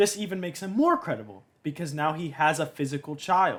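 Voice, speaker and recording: A man's normal speaking voice at a moderate pace, fairly high in pitch, with ordinary pitch variation. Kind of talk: commentary analysing a talk.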